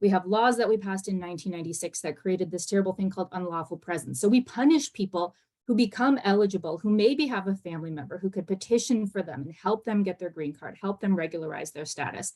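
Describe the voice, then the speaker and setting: Talking at a very fast pace with hardly any pauses, a woman uses a dark, mellow tone at medium pitch, with lively intonation and big swings in loudness. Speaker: immigration policy panelist. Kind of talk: webinar panel talk.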